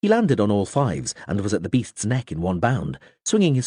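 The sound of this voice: What comes through is an unforced reading voice.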